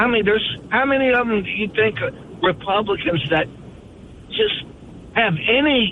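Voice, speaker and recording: There is noticeable background noise as a man talks in a high pitch. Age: 70s. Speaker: caller. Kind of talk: heated debate. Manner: halting, stammering.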